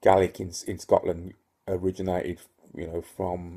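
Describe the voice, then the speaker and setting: A man speaks with a dark, mellow tone at a very deep, low pitch, his voice somewhat breathy. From Northern Ireland (Ulster). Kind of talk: casual talk to camera. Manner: hesitant, many fillers.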